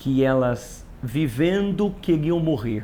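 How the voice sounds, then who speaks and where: This man speaks with lively intonation and a touch of vocal fry. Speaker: pastor. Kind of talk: casual chat.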